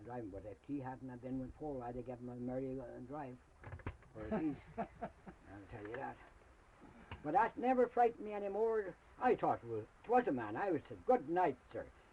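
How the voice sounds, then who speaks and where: A man speaks at a moderate pace with very wide pitch swings and big swings in loudness. Noticeable background noise runs beneath him. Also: medium pitch for a man. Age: old. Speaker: rural elder storyteller. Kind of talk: oral history interview, telling a ghost story. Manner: casual, rustic, folksy.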